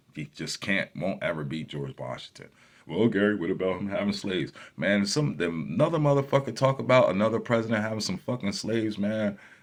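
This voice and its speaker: A man talks at a fairly quick pace in a fairly low pitch with vocal fry. His tone is animated, with very wide pitch swings. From New Jersey. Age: 40s. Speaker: YouTuber. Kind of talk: casual vlog monologue. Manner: animated, profane.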